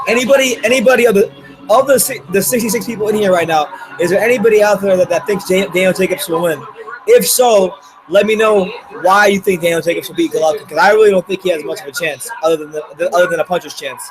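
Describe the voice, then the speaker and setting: A man with an American accent talks at a very fast pace in a high voice with ordinary pitch variation, and there's noticeable background noise. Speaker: boxing YouTuber. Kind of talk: live fight reaction stream. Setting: live stream with chat. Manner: casual, conversational.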